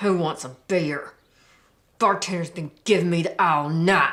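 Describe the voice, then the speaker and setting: In a put-on character voice, the speaker growls at a moderate pace and a middle pitch. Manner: irritated, annoyed.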